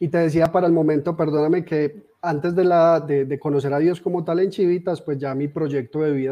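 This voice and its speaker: Here is a man talking. His pitch is fairly high. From Colombia, Armenia (Quindío) with Antioquia influence. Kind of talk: testimony. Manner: halting, with repetitions. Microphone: phone mic after power outage.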